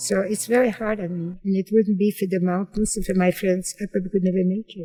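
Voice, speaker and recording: Very fast, somewhat breathy speech from a woman at medium pitch, dark and mellow in tone, with a dry, close sound and no echo. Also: fairly even intonation. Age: 80s+. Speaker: Holocaust survivor and mountaineer. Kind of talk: interview testimony.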